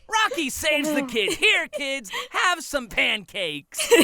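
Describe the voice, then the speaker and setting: A raspy, high, put-on character voice at a fairly slow pace. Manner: friendly, shaggy.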